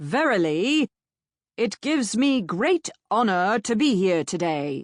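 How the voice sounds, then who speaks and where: Someone uses a put-on character voice with a pompous tone and a fairly high pitch. The pace is fairly slow, with very wide pitch swings. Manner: pompous, formal.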